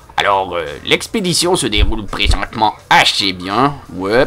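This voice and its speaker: Delivery is very slow. The background noise is noticeable throughout. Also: man. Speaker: online game player. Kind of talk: casual chat. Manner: hesitant, many fillers.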